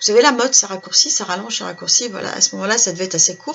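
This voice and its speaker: A woman speaks at medium pitch. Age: 60s. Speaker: life coach and workshop leader. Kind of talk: casual video talk to viewers. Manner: halting, many fillers.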